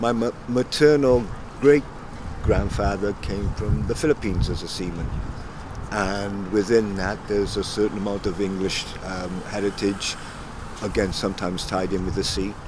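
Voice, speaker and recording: Over noticeable background noise, a man with a fairly low voice speaks at a moderate pace and with ordinary pitch variation. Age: 60s. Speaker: former local resident. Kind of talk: documentary interview. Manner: halting.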